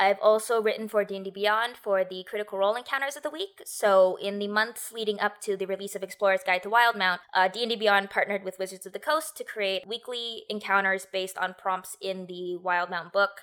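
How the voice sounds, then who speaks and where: A woman speaks with an American accent at a fairly quick pace and medium pitch. Her intonation is fairly even, with hardly any pauses. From United States. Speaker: tabletop game writer and designer. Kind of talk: interview. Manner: halting.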